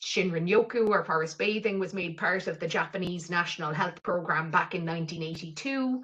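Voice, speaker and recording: The speaker has an Irish accent and talks at a fairly quick pace with hardly any pauses. Pitch varies in an ordinary way. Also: woman, fairly low pitch for a woman. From southwest Ireland (County Cork coast). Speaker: mental health programme lead. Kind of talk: webinar presentation.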